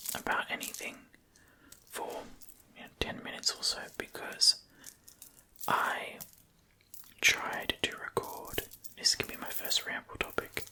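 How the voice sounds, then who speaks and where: With noticeable background noise behind it, the whispering goes along at a fairly slow pace, broken by long, frequent pauses. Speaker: ASMR creator. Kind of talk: whispered ASMR ramble; casual talk to camera. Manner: whispered.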